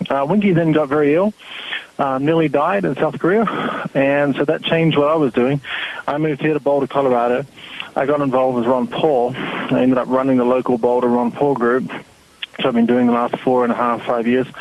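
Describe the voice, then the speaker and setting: Noticeable background noise sits behind a man of medium pitch. He speaks at a fairly quick pace with ordinary pitch variation and very even loudness. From New Zealand and Australia. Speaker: website founder and activist. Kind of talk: interview.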